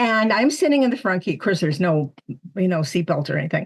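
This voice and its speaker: A woman's somewhat breathy, fairly low voice at a moderate pace. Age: 70s. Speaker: psychic medium and spiritual teacher. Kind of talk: interview storytelling.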